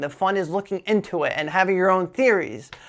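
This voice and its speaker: At a moderate pace, the speaker talks in a slight New Jersey accent on a very clean recording with a silent background. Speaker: Pokémon card collector YouTuber. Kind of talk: casual vlog talk to camera. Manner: casual, filler-heavy.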